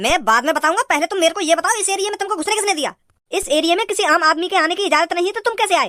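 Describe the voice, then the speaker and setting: A put-on character voice, gruff and extremely high-pitched, rattles along at a very fast pace. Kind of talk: comic rustic cartoon dialogue. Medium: cartoon. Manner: gruff, scolding, threatening.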